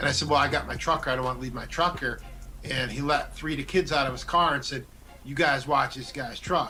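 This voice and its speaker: A man talks very fast with audible room echo and music in the background. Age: middle-aged. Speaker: talk show host. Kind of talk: casual chat. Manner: animated.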